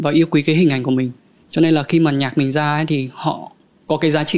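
A man talks at a fairly quick pace in a fairly high pitch, with ordinary pitch variation. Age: 30s. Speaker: rapper. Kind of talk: casual chat.

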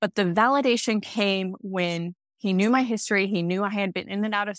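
A woman with an American accent and a normal speaking voice, medium pitch, fairly even intonation and a fairly quick pace, in a dry, close sound with no echo. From United States. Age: 30s. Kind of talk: solo podcast monologue.

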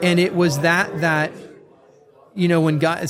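With an American accent, the speaker goes at a moderate pace, with audible room echo and noticeable background noise. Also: man. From US West Coast, North County San Diego. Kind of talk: faith podcast conversation. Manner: conversational with frequent fillers and repetitions.

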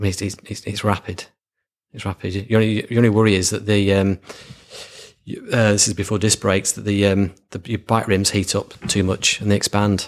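A man with a Lancashire accent, a fairly low pitch, monotone, flat intonation and a fairly quick pace, on a very clean recording with a silent background. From Lancashire, northern England. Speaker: marketing agency founder. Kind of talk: casual interview.

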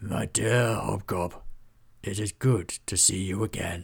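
A man's put-on character voice, fairly low and slow, with fairly even intonation, a slightly husky edge and vocal fry.

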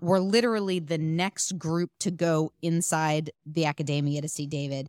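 In a very clean recording with a silent background and a dry, close sound with no echo, a woman with an ordinary speaking voice talks at a fairly low pitch with fairly even intonation. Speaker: podcast producer. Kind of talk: casual chat, anecdote.

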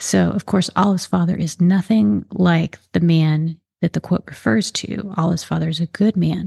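A woman's fairly low, somewhat breathy voice with a dark, mellow tone, a relaxed tone and a moderate pace. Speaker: mystery author and podcast host. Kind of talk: casual book chat, intro and outro. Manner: conversational, friendly, relaxed with some fillers.

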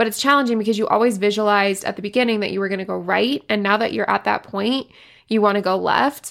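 A woman's plain, everyday voice at a medium pitch, with fairly even intonation, in a very clean recording with a silent background. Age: 20s. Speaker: fitness coach and podcast host. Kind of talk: casual solo monologue.

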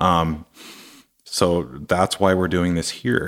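A man with an American accent speaks in a very deep, low voice. His intonation is monotone and flat, and the recording is very clean with a silent background. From US Pacific Northwest (Seattle). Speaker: motocross and downhill mountain bike athlete. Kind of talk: casual interview. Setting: studio.

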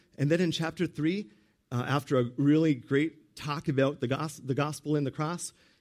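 This man has an ordinary speaking voice with fairly high pitch, at a moderate pace. The recording is very clean, with a silent background. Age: 50s. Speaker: pastor. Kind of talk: sermon.

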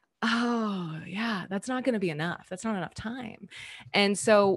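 A somewhat breathy woman with an American accent at a moderate pace, against a quiet background. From Southern California. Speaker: yoga teacher. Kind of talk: casual interview.

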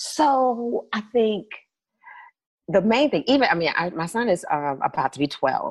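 A woman speaks at a fairly slow pace with a fairly high pitch and vocal fry. Her pitch swings very widely. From US South, Birmingham, Alabama. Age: 40s. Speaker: consulting firm founder. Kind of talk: casual interview.

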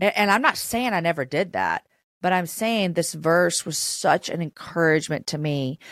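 At a moderate pace, a woman talks in a fairly low voice with ordinary pitch variation. She has an unremarkable speaking voice, captured dry and close with no echo. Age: 40s. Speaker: author, speaker and podcast host. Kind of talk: casual faith interview.

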